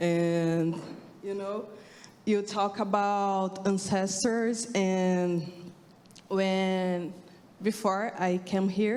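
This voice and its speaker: Very slow, monotone, flat speech with a non-native accent, long, frequent pauses and audible room echo. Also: woman, medium pitch for a woman. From Brazil. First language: Portuguese. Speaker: audience member, sociology researcher. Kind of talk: audience question. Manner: halting.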